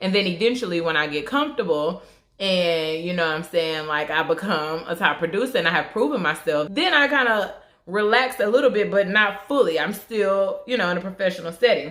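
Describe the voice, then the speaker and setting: Speaking with an American accent, a woman moves at a fairly quick pace. Her intonation is lively. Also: medium pitch for a woman. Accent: southern twang, suppressed at work. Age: 20s. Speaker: beauty vlogger. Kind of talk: casual chat. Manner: conversational with fillers.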